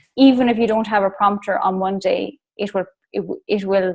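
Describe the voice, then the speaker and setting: This is a woman speaking with an Irish accent. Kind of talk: casual chat. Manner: fast.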